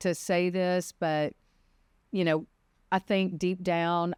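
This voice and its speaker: A woman with a Mississippi accent speaks at a fairly slow pace on a very clean recording with a silent background and a dry, close sound with no echo. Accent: Southern (Mississippi). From Mississippi, US South. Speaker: defense attorney, former prosecutor. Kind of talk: podcast interview.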